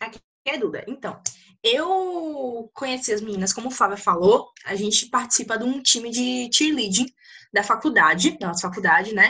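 A woman's bright, sharp voice at a high pitch with very wide pitch swings. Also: moderate pace. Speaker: podcast co-host. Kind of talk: casual chat. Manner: talkative, expressive.

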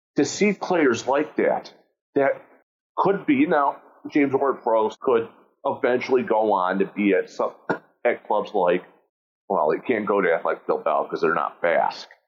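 Loudness stays very even at a moderate pace broken by long, frequent pauses. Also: man. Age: 40s. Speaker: podcast host, show patron. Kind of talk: casual chat.

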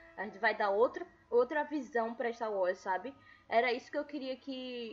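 Female speaker at a fairly high pitch and a medium tempo, her pitch varying normally, with music behind her. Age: 20s. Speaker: podcast host. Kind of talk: casual chat.

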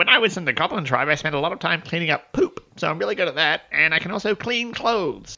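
With hardly any pauses, a man races along very fast in a put-on character voice pitched high. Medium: actual play. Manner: earnest, a bit awkward.

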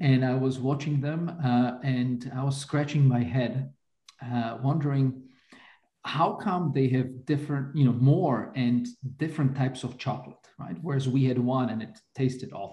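A man speaks in a medium pitch with a dark, mellow tone that is somewhat breathy. His pace is moderate and his pitch varies in an ordinary way. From Slovakia. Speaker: economics professor. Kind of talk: interview. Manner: hesitant, many fillers.

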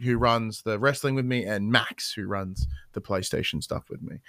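With an Australian accent, a man talks at a moderate pace and medium pitch, showing ordinary pitch variation and a bright, sharp tone in a dry, close sound with no echo on a very clean recording with a silent background. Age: 30s. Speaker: podcast host and games journalist. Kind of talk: casual chat.

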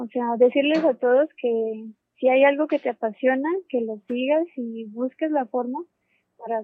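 A woman with a high-pitched voice talks at a fairly slow rate. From Colombia, Popayán. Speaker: astronomy graduate researcher. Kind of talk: interview.

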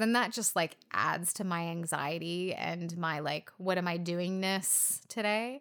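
A woman speaks very slowly in a fairly low pitch. The recording is very clean, with a silent background. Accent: American. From US West Coast. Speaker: podcast co-host. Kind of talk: casual chat.

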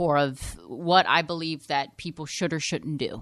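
At a fairly quick pace, a woman speaks in a plain, everyday voice with fairly low pitch, on a very clean recording with a silent background. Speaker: podcast host. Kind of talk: casual chat.

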